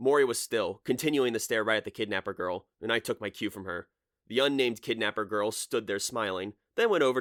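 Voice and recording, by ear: Against a quiet backdrop, the text is read aloud in a natural voice.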